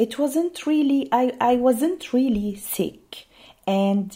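Very slow and somewhat breathy, this voice has a dark, mellow tone. It speaks with an Arabic accent, and its pitch swings very widely. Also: woman. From Syria. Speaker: refugee mother telling her story. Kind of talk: personal testimony.

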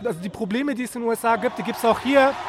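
The voice moves at a very fast pace. Background noise is noticeable throughout. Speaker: interviewer. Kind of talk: street interview. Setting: outdoors.

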